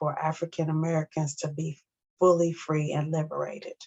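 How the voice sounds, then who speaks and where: Somewhat breathy delivery in a flat monotone. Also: woman. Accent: Missouri. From US South, St. Louis, Missouri. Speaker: academic advisor and speaker. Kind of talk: educational presentation.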